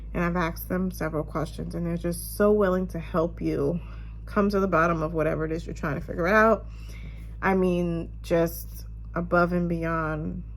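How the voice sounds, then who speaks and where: The room echo is audible. A woman talks at a moderate pace. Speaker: vlogger. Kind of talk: casual chat.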